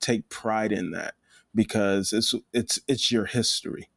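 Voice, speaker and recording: A voice with an American accent and vocal fry moves at a moderate pace with ordinary pitch variation. The recording is very clean with a silent background and a dry, close sound with no echo. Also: man. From US (Nigerian-born, raised in America from age three). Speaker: photographer. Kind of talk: casual chat.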